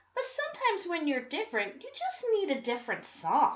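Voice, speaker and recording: Doing a squeaky, put-on character voice, a woman hits an extremely high pitch with very wide pitch swings at a fairly quick pace. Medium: read story.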